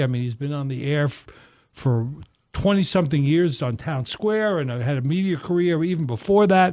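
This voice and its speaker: With a normal speaking voice, a man talks at a moderate pace and fairly high pitch with lively intonation, in a very clean recording with a silent background. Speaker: radio co-host. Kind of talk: casual chat. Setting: studio.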